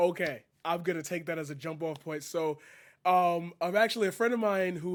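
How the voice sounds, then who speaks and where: A man with a fairly high pitch and a normal speaking voice talks at a fairly quick pace with fairly even intonation, on a very clean recording with a silent background. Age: 20s. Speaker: streamer and poet. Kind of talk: casual chat.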